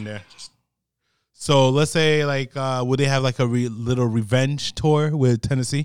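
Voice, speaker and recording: Speaking with an American accent, a man with a normal speaking voice talks at a moderate pace with ordinary pitch variation. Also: very clean recording, silent background. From New Jersey. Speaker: sports podcast co-host. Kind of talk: casual sports chat.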